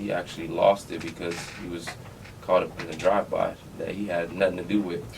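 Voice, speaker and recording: A man's very fast speech amid noticeable background noise. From Compton, California. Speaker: former college football player. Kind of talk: casual podcast interview.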